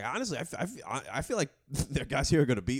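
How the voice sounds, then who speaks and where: A raspy, fairly high put-on character voice from a man in a Brooklyn accent, fairly quick with very wide pitch swings. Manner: grim, wry.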